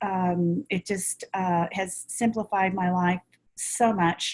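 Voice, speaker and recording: Very slowly, a woman talks with a somewhat breathy voice. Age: 60s. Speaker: product customer giving testimony. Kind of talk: testimony. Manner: halting, many fillers.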